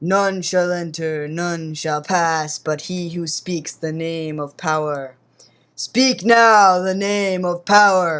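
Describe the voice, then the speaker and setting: Delivery is very slow in a put-on character voice. The pitch stays in the middle. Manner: solemn, commanding.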